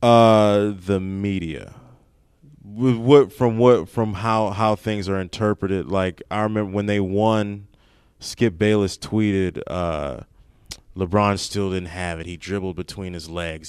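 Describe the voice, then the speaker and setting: A man with an unremarkable speaking voice and an American accent talks at a fairly slow pace in a fairly low pitch with ordinary pitch variation. His loudness swings a lot, and the recording is very clean with a silent background. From Maryland, Prince George's County (DC area). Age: 30s. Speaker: stand-up comedian. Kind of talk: casual chat. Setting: comedy club back room.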